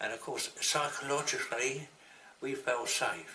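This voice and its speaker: The speaker has an English accent and a moderate pace. Background noise is noticeable. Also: man. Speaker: war veteran. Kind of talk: interview answer.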